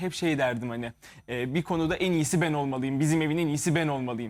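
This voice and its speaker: A man with a plain, everyday voice speaks at a fairly quick pace and a fairly high pitch. His pitch variation is ordinary, and the recording is very clean with a silent background. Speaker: musician. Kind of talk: interview.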